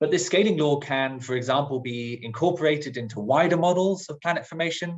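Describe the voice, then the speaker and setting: A somewhat breathy man at a fairly quick pace, with ordinary pitch variation. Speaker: planetary science researcher. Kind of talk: lecture. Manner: fast.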